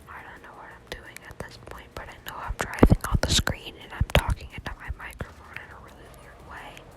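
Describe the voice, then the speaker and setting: Someone whispers at a fairly quick pace. Noticeable background noise runs underneath. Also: hardly any pauses. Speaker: gaming commentator. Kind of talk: gameplay commentary. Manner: whispering.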